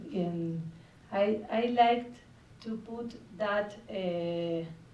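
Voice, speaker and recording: With audible room echo, a woman with a Spanish accent speaks very slowly at a medium pitch with ordinary pitch variation. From Argentina. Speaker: film director. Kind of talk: festival Q&A. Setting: stage with audience. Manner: halting.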